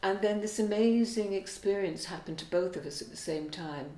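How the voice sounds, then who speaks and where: A woman amid noticeable background noise and audible room echo. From Wales. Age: 70s. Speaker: singer and songwriter. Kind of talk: interview.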